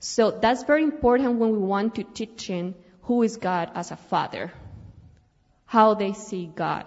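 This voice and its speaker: A woman with a Colombian accent speaks at a moderate pace in a fairly high voice, with ordinary pitch variation. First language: Spanish. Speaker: missionary. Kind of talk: church missionary presentation. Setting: church service.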